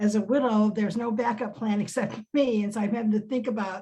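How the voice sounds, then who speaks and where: At a fairly quick pace, a woman speaks in a fairly high pitch with a dark, mellow, somewhat breathy tone. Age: 70s. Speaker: success team member on a business network panel. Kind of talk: casual chat.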